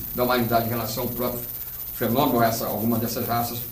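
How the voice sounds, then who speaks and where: Male speech with noticeable noise behind it and an audible echo from the room. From Rio de Janeiro state, Brazil. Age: 60s. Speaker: ufologist and author. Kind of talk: interview. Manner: hesitant, many fillers.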